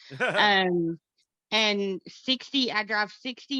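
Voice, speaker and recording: Heard in a dry, close sound with no echo, a woman with a Texan accent talks at a medium pitch in a bright, sharp tone. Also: quiet background. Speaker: concert fan, record collector. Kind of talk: casual chat.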